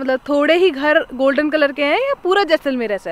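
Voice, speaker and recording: A high-pitched woman talks at a moderate pace. The sound is dry, with no echo. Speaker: travel vlogger. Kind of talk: casual vlog chat. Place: open country. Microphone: phone near.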